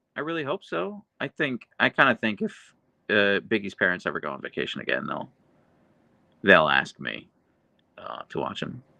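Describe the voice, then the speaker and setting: A fairly low male voice with vocal fry, a bright, sharp tone, very wide pitch swings, moderate pace, long, frequent pauses and a quiet background. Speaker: YouTuber live streamer. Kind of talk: live stream chat reading. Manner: dry delivery.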